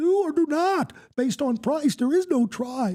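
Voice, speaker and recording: A put-on character voice, high-pitched and at a moderate pace, on a very clean recording with a silent background. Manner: croaky, mock-wise.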